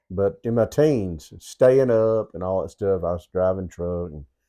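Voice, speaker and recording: With a Southern US accent, a man speaks in a very deep, low pitch and a dark, mellow tone, using ordinary pitch variation over a quiet background. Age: 60s. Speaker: co-host. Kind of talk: casual chat. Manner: halting.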